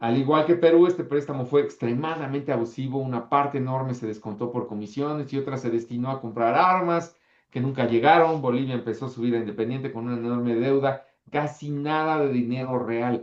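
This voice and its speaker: A man talking at a fairly quick pace with a Mexican accent. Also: medium pitch for a man. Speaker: history teacher. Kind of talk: online class lecture. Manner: animated.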